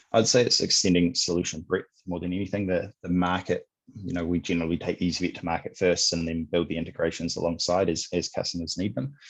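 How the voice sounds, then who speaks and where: In a New Zealand accent, a man with a very deep, low pitch talks very fast, with hardly any pauses and fairly even intonation, against a quiet background. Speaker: sales executive at a software company. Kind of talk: podcast interview. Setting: remote call.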